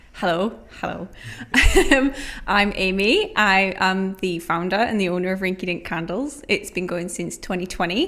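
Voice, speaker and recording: This woman's tone is bright and sharp. She speaks with a Geordie accent. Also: medium pitch for a woman, ordinary pitch variation, moderate pace. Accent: Geordie (Newcastle). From northern England, Newcastle. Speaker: small business founder. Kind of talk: podcast interview.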